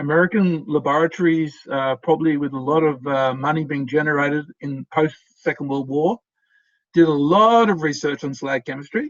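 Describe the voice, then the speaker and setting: An Australian accent at a moderate pace, with ordinary pitch variation and a dry, close sound free of echo. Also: man, fairly high pitch for a man. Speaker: professor. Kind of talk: lecture. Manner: hesitant, many fillers.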